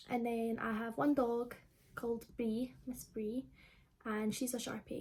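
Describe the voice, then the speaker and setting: Fairly high-pitched woman in a Scottish accent, fairly slow pace and fairly even intonation. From Scotland, Livingston (between Glasgow and Edinburgh). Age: 20s. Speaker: YouTuber. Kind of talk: casual Q&A vlog. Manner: casual, many fillers.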